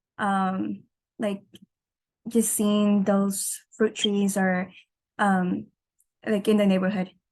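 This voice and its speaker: A woman with a Californian accent at a very slow pace. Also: medium pitch for a woman. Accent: Californian American English. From Southern California (El Monte). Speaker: student. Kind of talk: class discussion. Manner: halting.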